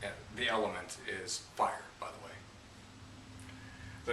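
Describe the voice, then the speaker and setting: A man with an American accent, with noticeable background noise and audible room echo. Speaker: esoteric teacher. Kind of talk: tutorial. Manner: hesitant, many fillers.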